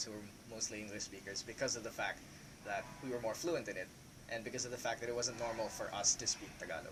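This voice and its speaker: The recording carries noticeable background noise. A man at medium pitch talks at a very fast pace with fairly even intonation. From Philippines, Laguna province. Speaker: student discussing personal experience. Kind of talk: panel discussion. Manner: hesitant, many fillers.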